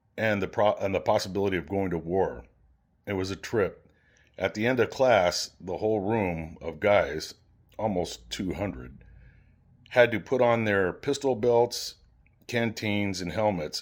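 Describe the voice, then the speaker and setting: In a very clean recording with a silent background, a man with an American accent talks at a fairly slow pace in an unremarkable speaking voice with ordinary pitch variation. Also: fairly low pitch for a man. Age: 60s. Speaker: army veteran. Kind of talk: reading aloud from an old personal journal.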